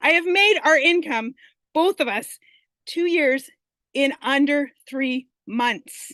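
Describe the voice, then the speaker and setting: Raising and projecting her high voice, a woman speaks at a very slow pace with lively intonation, in a dry, close sound with no echo. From Canada. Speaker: online business student sharing success story. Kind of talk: testimony. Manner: animated.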